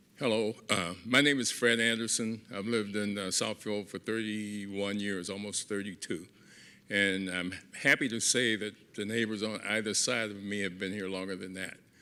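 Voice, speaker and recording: Recorded very cleanly against a silent background, a man speaks at a fairly low pitch with a bright, sharp tone and fairly even intonation. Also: moderate pace. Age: 70s. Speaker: resident speaking at public comment. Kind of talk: public comment at council meeting.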